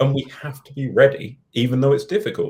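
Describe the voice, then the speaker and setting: Somewhat breathy, a man speaks fairly quickly at a medium pitch with ordinary pitch variation. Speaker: researcher and author. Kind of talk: interview.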